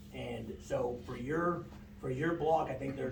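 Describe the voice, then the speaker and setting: Over noticeable background noise and audible room echo, a man speaks in an American accent. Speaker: engineering consultant presenting to city council. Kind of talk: public meeting presentation. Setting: city council meeting. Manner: fast; casual, filler-heavy.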